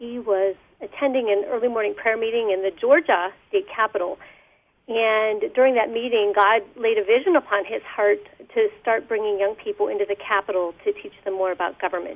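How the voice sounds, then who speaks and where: A plain, everyday voice with ordinary pitch variation. It moves at a fairly quick pace. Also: woman, fairly high pitch for a woman. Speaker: youth leadership program coordinator. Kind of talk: radio interview. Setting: phone call.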